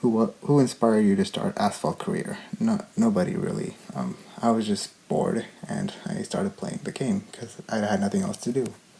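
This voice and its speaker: Pitched fairly high, a man swings very widely in pitch at a moderate pace. Noticeable background noise is present. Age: young. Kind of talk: casual Q&A talk to camera.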